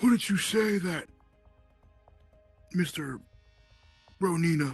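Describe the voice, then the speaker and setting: A put-on character voice at middle pitch and a fairly slow pace, with faint music in the background. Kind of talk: mock courtroom speech. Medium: machinima.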